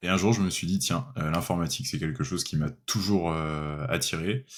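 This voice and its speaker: Here a man speaks at a moderate pace. His voice has a very deep, low pitch. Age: 30s. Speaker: software developer. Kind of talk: interview. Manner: hesitant, many fillers.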